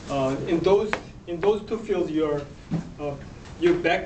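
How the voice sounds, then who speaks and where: A man speaks at a moderate pace in a fairly high pitch. Noticeable background noise runs underneath. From South Korea. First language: Korean. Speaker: speech evaluator. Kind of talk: speech evaluation. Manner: halting. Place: classroom. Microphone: camera far.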